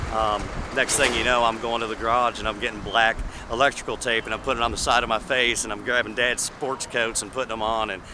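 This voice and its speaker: With a Tennessee accent and a medium pitch, a man speaks very fast in a flat monotone over noticeable background noise. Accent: Southern US (Tennessee). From US South, Tennessee. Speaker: Elvis tribute artist. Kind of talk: interview. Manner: halting, with many fillers.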